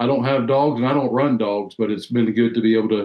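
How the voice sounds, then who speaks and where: A man with a Southern US accent, medium pitch and a monotone, flat delivery at a very fast pace, with audible room echo over a quiet background. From US South, North Carolina. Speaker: sled dog race judge and volunteer; sled dog race judge. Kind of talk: casual interview chat. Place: home room.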